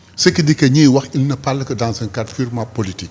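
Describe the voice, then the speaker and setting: With a dark, mellow tone, a somewhat breathy man speaks at a moderate pace with ordinary pitch variation. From Senegal, Saint-Louis. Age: 60s. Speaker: politician. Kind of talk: interview.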